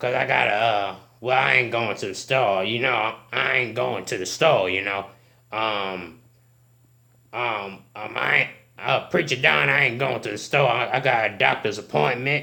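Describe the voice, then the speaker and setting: A put-on character voice from a man, medium in pitch, at a moderate pace. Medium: comedy sketch. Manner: stammering, hesitant.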